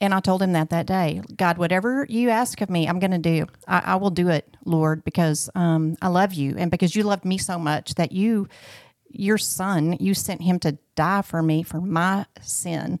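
On a very clean recording with a silent background and a dry, close sound with no echo, a woman with a Southern US accent speaks at a moderate pace with ordinary pitch variation. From Arkansas, US South. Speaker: guest sharing marriage testimony. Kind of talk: testimony.

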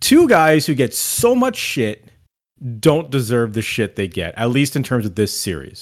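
A man with a Canadian accent speaks in a plain, everyday voice at a fairly slow pace and medium pitch. His intonation is lively, and the recording is very clean with a silent background. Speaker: sports podcast co-host. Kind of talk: casual chat.

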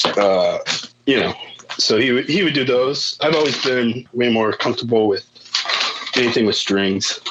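A man with an American accent speaks at a moderate pace and medium pitch at very even loudness, taking long, frequent pauses over noticeable background noise. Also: ordinary pitch variation. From northern Indiana, rural. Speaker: musician. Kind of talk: casual chat.

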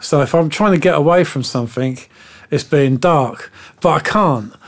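A man with a London accent and a fairly high pitch speaks at a moderate pace with ordinary pitch variation. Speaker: music producer. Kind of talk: interview.

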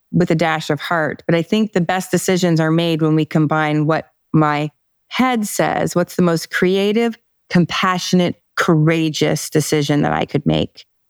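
In an ordinary speaking voice, a woman with a fairly low pitch talks at a fairly slow pace, her loudness very even and her pitch varying in an ordinary way. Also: dry, close sound with no echo. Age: 50s. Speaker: author and personal development coach. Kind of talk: interview.

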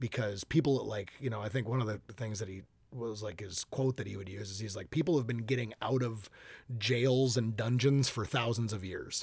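A man with an Upper Midwest accent speaks at medium pitch in a somewhat breathy voice with ordinary pitch variation, on a very clean recording with a silent background. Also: moderate pace. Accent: Upper Midwest American. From Minnesota, US. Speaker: podcast guest, new father. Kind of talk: casual interview. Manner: energetic, animated.

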